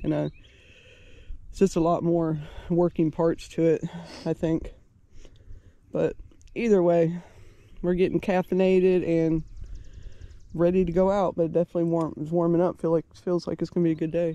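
At a moderate pace and with long, frequent pauses, the voice comes through as a dry sound with no echo. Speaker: travel vlogger. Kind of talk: casual vlog chat. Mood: relaxed, cheerful. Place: open country. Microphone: phone near.

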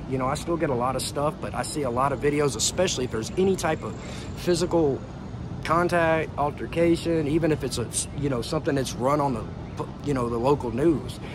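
A man's fairly high pitch at a fairly quick pace with an American accent, in a dry sound with no echo and noticeable background noise. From United States. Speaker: vlogger; travel vlogger. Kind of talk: casual monologue to camera; casual vlog chat. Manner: animated. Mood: defiant, irritated toward critics. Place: street. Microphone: earbuds.

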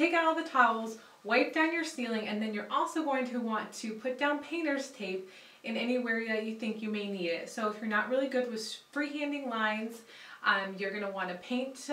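A woman talks fairly quickly with lively intonation. Her voice has audible room echo. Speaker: home improvement host. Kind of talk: tutorial. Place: bathroom.

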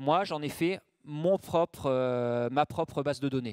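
Over a quiet background, a man talks with ordinary pitch variation in a dry sound with no echo. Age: 40s. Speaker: ultra-trail runner and mental coach; mental coach. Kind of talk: conference talk. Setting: conference room with audience. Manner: hesitant, many fillers. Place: hall. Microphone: handheld.

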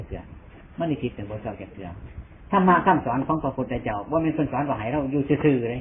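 With lively intonation, a man talks in an Isan accent. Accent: Isan (Northeastern Thai). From Northeastern Thailand. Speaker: Buddhist monk. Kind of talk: Buddhist sermon.

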